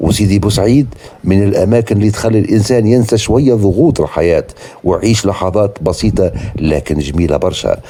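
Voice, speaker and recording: A man with a Tunisian accent, fairly low in pitch, at a moderate pace, with ordinary pitch variation, very even loudness and noticeable background noise. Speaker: travel vlogger. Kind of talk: walking tour vlog narration. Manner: casual, spontaneous with hesitations.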